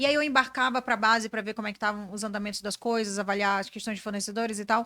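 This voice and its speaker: A woman speaks in a bright, sharp, animated tone, recorded very cleanly against a silent background with a dry, close sound and no echo. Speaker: brand strategist and business mentor. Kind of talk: podcast interview.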